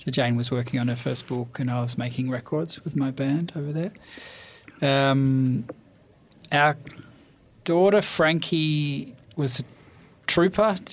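Speaking with an Australian accent, a man uses a fairly high pitch with ordinary pitch variation. He goes at a fairly slow pace, with long, frequent pauses. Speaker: bookshop owner. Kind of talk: interview. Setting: studio.

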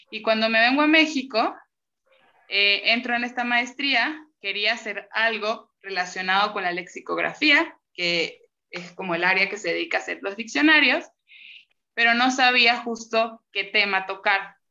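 This woman has a fairly high pitch and a bright, sharp tone. Her intonation is lively, and her pace is fairly slow. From Venezuela. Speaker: graduate student, linguist. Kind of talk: casual interview chat.

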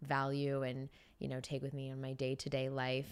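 With a Californian accent, a woman talks at a fairly quick pace in a very deep, low voice. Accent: Californian American. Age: 20s. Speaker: beauty brand founder. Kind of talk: casual interview. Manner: casual, filler-heavy.

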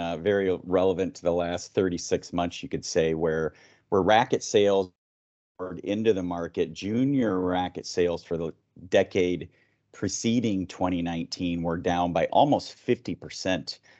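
Here a man speaks with a very deep, low pitch. His pace is moderate and his pitch variation ordinary. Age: 50s. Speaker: tennis organization director, former player and coach. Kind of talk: interview podcast.

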